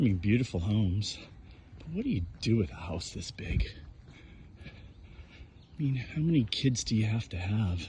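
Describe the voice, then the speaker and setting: A quiet, somewhat breathy man with a fairly low pitch, a dark, mellow tone, very wide pitch swings and a fairly slow pace. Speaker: vlogger. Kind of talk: casual walking vlog monologue. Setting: outdoors on a walk. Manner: quiet, lowered voice.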